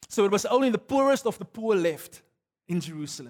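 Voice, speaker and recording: A high-pitched man's voice with ordinary pitch variation, dry and close with no echo. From South Africa. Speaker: pastor. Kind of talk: sermon.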